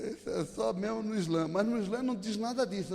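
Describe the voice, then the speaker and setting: Speaking at a fairly quick pace, a man uses a high voice and lively intonation. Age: 60s. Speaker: pastor. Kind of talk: sermon.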